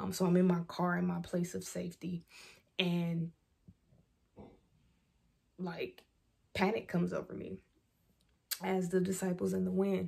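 A woman talks at a fairly slow pace, leaving long pauses often. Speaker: faith vlogger. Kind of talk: devotional talk, casual sermon. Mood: earnest, personal testimony. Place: home room. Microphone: phone near.

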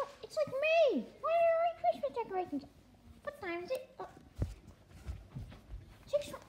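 In a cartoonish character voice, a female-sounding speaker talks at an extremely high pitch, with very wide pitch swings and long, frequent pauses. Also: moderate pace. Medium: puppet. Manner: surprised, panicky.

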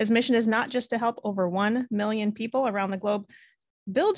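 A woman talks at a very fast pace with ordinary pitch variation. The sound is dry with no echo, and the background is quiet. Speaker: podcast host. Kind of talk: interview conversation. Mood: warm, engaged. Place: home room. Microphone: studio mic.

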